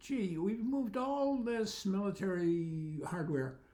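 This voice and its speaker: A man speaks with very wide pitch swings, with audible room echo and noticeable background noise. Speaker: commentary video maker. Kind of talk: casual monologue vlog. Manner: halting, many fillers.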